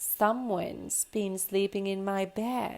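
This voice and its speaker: Putting on a growling character voice, a woman speaks at a fairly slow pace with a medium pitch. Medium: read story. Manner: growling, roaring.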